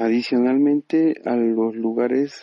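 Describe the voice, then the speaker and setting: This man talks at a fairly slow pace. His pitch is medium. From Peru. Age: 30s. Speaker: 3D animator. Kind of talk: interview. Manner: halting, many fillers and repetitions.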